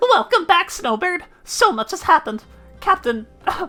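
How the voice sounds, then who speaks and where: In a put-on character voice that is raised and projected, the speaker moves at a fairly quick pace with very wide pitch swings, as faint music plays in the background. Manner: cheerful, welcoming.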